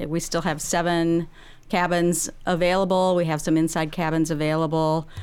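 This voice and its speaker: A woman's fairly slow speech at a fairly low pitch, in a plain, everyday voice. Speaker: senior services trip coordinator. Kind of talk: casual radio interview. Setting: studio. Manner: upbeat, laughs often.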